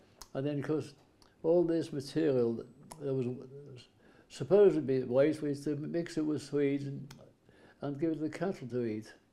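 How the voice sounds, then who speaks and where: With a Welsh accent, a man speaks at a moderate pace in a fairly high pitch and a dark, mellow tone, keeping his intonation fairly even and taking long, frequent pauses. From Wales. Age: 80s+. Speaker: farmer and war veteran. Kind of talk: interview. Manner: halting.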